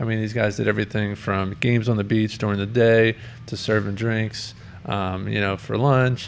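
Over noticeable background noise, a man with a fairly low pitch speaks at a moderate pace and with fairly even intonation. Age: 30s. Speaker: podcast host. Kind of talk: casual chat.

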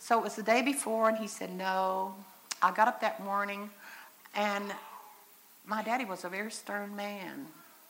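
The speaker keeps a moderate pace and a fairly even intonation, but the loudness swings widely and long pauses come often. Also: woman, medium pitch for a woman. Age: 60s. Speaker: mother and speaker at church convention. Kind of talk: sermon-style talk. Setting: church stage with audience, in wheelchair. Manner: conversational, folksy.

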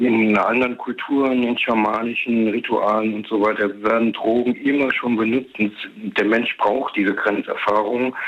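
A man's monotone, flat intonation at a moderate pace. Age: 60s. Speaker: radio caller. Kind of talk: phone-in discussion. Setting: phone call.

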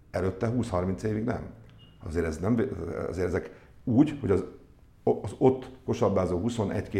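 Somewhat breathy male voice, dark and mellow in tone, with ordinary pitch variation. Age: 50s. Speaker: sports club executive. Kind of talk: interview. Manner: halting.

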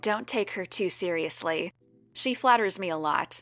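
A text is being read aloud. The voice sounds natural.

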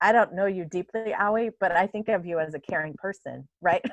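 A woman with an ordinary speaking voice talks at medium pitch and a moderate pace, with ordinary pitch variation. The sound is dry and close with no echo, over a quiet background. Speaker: center director and parent scholar. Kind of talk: casual panel discussion. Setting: home video call.

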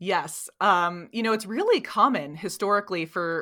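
The voice has a bright, sharp tone and fairly even intonation at a moderate pace. The recording is very clean, with a silent background. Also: woman. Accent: American. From New Jersey. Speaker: gap year consultant. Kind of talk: interview.

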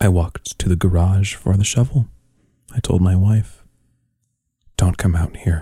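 Very deep and low in pitch, this man's dark, mellow, somewhat breathy voice carries a deadpan, solemn tone, with very even loudness and long, frequent pauses. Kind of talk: poem reading, dramatic performance of a poem. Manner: slow, deliberate, solemn; deadpan, understated, grim.

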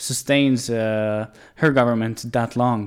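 A man with a Serbian accent speaks at a fairly slow pace. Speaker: podcast host. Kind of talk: interview.

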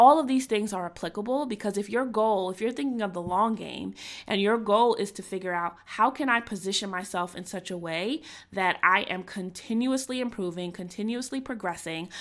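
Speaking at a fairly quick pace, a woman with a plain, everyday voice keeps a medium pitch and ordinary pitch variation in a very clean recording with a silent background. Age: 30s. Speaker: career coach and podcast host. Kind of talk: solo podcast monologue. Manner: conversational, frequent fillers.

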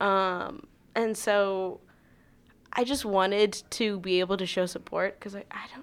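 An unremarkable speaking voice in an American accent moves at a fairly slow pace with fairly even intonation. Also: woman, medium pitch for a woman. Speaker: podcast co-host. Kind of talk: casual podcast chat.

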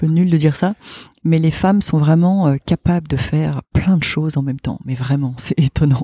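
A woman speaks at a moderate pace with a very deep, low pitch and a dark, mellow tone. Her pitch variation is ordinary, and the sound is dry and close with no echo. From northern France, partly raised abroad. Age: 40s. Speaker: business owner, events agency head. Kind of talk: interview.

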